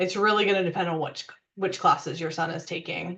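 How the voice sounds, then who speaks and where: This woman talks at a fairly quick pace in a fairly low voice, her intonation flat and monotone. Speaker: university parent and family resources staff. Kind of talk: webinar presentation with Q&A. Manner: fast.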